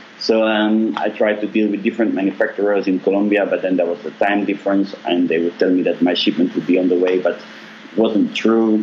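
Speaking at a fairly quick pace, a man has a fairly low pitch and fairly even intonation. His loudness stays very even, and there is noticeable background noise. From Belgium. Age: 30s. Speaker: apparel manufacturer CEO. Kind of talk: interview.

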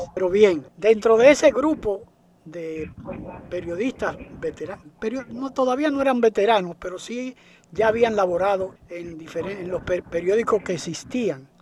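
A man's high-pitched voice at a moderate pace, with big swings in loudness and noticeable background noise. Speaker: radio host, veteran journalist. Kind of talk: interview.

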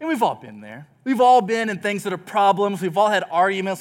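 A man with an American accent speaks with ordinary pitch variation in a very clean recording with a silent background. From Texas. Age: 20s. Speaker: student pastor. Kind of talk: sermon. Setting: church.

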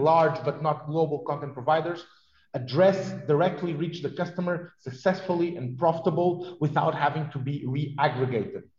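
A man with a Portuguese accent talks in a fairly high voice with a dark, mellow tone. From southern Portugal (Vila Real). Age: 40s. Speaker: TV technology executive. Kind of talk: interview. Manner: hesitant with fillers.

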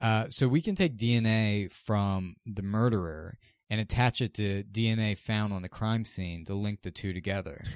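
A man's normal speaking voice, fairly low in pitch, at a moderate pace with hardly any pauses, ordinary pitch variation and a quiet background. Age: 20s. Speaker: podcast host. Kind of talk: casual chat.

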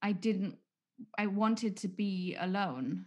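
This woman's voice sits at a medium pitch and is somewhat breathy. Her intonation stays fairly even. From England. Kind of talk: casual chat.

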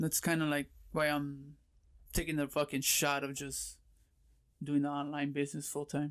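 A fairly high-pitched man with an American accent, monotone and flat, at a moderate pace with long, frequent pauses, on a very clean recording with a silent background. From Southern California, Pomona. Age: 30s. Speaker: online reseller. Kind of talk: casual chat.

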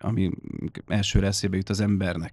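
A plain, everyday voice talks at a moderate pace with a dry, close sound with no echo. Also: man. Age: 30s. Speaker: musician, keyboard player in a metal band. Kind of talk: casual chat. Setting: studio.

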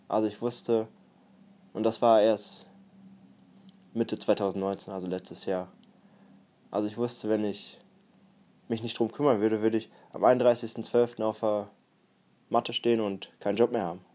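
In a very clean recording with a silent background, a man with a fairly low pitch and a dark, mellow tone speaks at a moderate pace with monotone, flat intonation and long, frequent pauses. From Germany, Münsterland (Warendorf). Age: 20s. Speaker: personal development podcaster. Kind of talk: solo podcast monologue.

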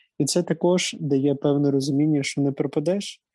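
Over a quiet background, a man speaks with a fairly high pitch and a dark, mellow tone. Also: dry, close sound with no echo. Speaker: student government head, guest. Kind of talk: casual interview. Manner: hesitant, many fillers. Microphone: sound problems.

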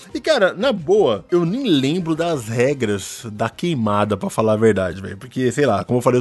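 A man speaks at a moderate pace and a medium pitch. He barely pauses at all. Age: 30s. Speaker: podcast host. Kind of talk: casual chat. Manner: animated.

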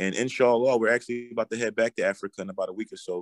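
The speech runs at a very fast pace. The sound is dry and close, with no echo. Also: man. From Philadelphia, US. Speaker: rapper. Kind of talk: casual interview. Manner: confident.

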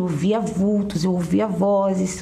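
A woman at medium pitch with fairly even intonation, over noticeable background noise. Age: 30s. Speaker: businesswoman giving church testimony. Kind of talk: testimony.

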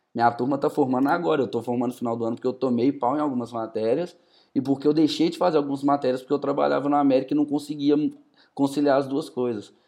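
Very fast, a man talks in a dark, mellow tone, fairly high in pitch with fairly even intonation. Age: 20s. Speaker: football market analyst. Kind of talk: casual chat.

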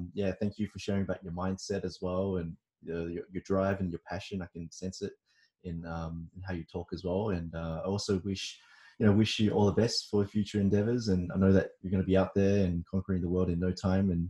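A man speaks with a very deep, low pitch and a dark, mellow tone, somewhat breathy. His intonation is monotone and flat, and his pace fairly quick. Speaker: podcast host. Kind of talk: interview. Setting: video call. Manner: casual, friendly.

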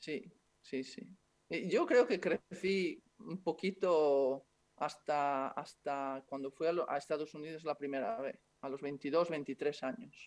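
Speaking at a very slow pace, a man has a fairly high pitch with ordinary pitch variation. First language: Italian (speaking Spanish). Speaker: former basketball player, club manager. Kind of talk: interview.

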